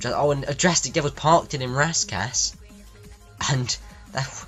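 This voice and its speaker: A man is speaking. Music plays in the background. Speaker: race commentator. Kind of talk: sim racing commentary.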